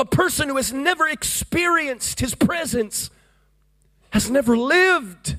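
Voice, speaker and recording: A man with an American accent, extremely high-pitched for a man, raised and projecting, bright and sharp in tone, with lively intonation at a fairly slow pace. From US, Florida. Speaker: evangelist. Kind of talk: Pentecostal revival sermon, storytelling to a congregation. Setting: church service with congregation. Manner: fervent, rhythmic preaching with call-and-response amens.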